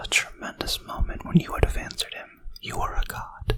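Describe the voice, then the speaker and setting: A man is whispering, with noticeable background noise behind him. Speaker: philosophy ASMR tutor. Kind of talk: ASMR philosophy tutoring with quoted passages. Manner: whispered, soft.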